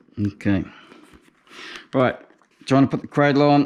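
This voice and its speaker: A man speaks with a New Zealand accent at a moderate pace. His pitch varies in an ordinary way. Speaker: motorcycle tour operator. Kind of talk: casual how-to narration.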